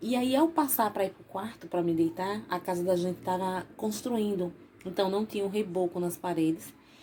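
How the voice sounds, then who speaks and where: A woman speaks at a moderate pace. Her medium-pitched voice has a dark, mellow tone. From Bahia, Brazil (Salvador), raised in Sergipe. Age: 40s. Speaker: YouTuber. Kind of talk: casual vlog storytelling.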